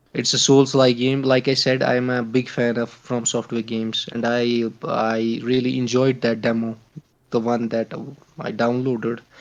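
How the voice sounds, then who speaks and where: A man with a non-native accent speaks at a moderate pace and medium pitch. His intonation is monotone and flat. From Kashmir, India. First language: not English. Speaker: podcast guest, gamer. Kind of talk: casual chat. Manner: halting, many fillers.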